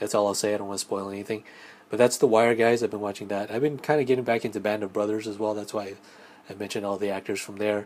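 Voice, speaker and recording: A man talks at a very fast pace in a flat, monotone delivery. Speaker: solo film podcaster. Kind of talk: casual monologue review. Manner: soft-spoken; halting, many fillers.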